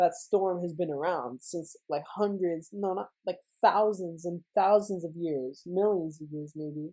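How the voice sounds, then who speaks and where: With a dark, mellow tone and a fairly low pitch, a woman speaks at a fairly slow pace with hardly any pauses. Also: ordinary pitch variation. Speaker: YouTuber, movie trailer breakdown. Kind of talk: casual video commentary. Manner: stuttering, stumbling speech; rambling with many fillers.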